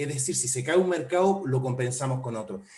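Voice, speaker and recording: A man talks at medium pitch with ordinary pitch variation. Audible room echo and noticeable background noise surround his voice. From Chile. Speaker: port official. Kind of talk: webinar presentation.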